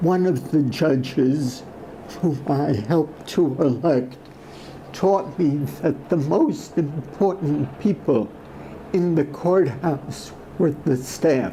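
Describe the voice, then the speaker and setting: There is noticeable background noise as a man with a fairly high pitch speaks at a very slow pace and very even loudness. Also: ordinary pitch variation. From Europe. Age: 80s+. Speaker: trial lawyer. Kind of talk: speech.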